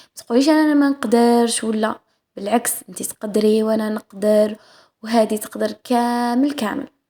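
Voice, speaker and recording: Speaking at a moderate pace, a woman with an Algerian accent has a fairly high pitch. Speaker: cooking vlogger. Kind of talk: cooking vlog voice-over. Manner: halting, many fillers and restarts; casual.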